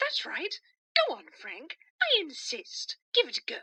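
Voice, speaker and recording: Putting on a character voice, a woman speaks fairly slowly at an extremely high pitch, with very wide pitch swings and big swings in loudness. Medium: audio drama. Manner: hesitant, stammering, soft.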